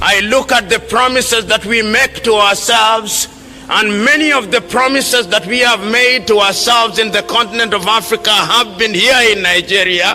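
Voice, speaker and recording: A raised, projected voice carries a passionate tone with very even loudness and fairly even intonation. Noticeable background noise sits behind it. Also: man, high pitch for a man, moderate pace. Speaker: public speaker and lecturer on African politics. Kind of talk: public political speech to an audience. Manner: passionate, rhetorical, impassioned.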